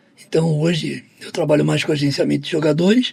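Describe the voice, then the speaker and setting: A man at a moderate pace with ordinary pitch variation, noticeable background noise behind him. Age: 60s. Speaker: football agent and negotiation speaker. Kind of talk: podcast interview.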